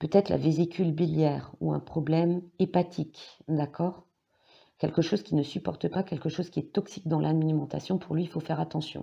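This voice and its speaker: A woman's very deep, low voice with a dark, mellow tone and vocal fry, flat monotone intonation and big swings in loudness at a moderate pace, over a quiet background. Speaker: psychic, tarot reader. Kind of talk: tarot reading monologue. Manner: hesitant, many fillers.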